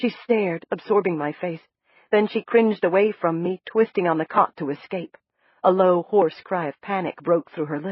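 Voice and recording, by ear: In a natural voice, someone reads aloud with ordinary pitch movement, and the background is quiet.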